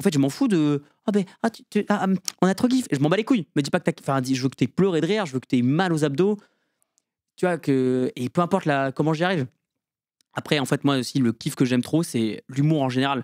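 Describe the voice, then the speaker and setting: A man speaks at a fairly quick pace with a fairly high pitch, lively intonation and an animated tone. Long pauses come often, and the sound is dry and close with no echo. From rural France. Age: 20s. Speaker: stand-up comedian and student. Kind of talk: casual podcast interview. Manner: fast.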